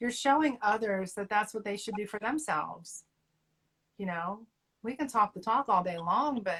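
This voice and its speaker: A woman in a Southern US accent, somewhat breathy and fairly high-pitched, with lively intonation at a moderate pace. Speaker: co-host of health talk series. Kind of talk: casual chat.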